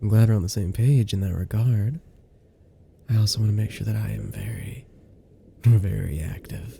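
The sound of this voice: Putting on a character voice, a man speaks fairly low and at a fairly slow pace with long, frequent pauses, his dark, mellow tone carrying a husky, rough edge, vocal fry and ordinary pitch variation.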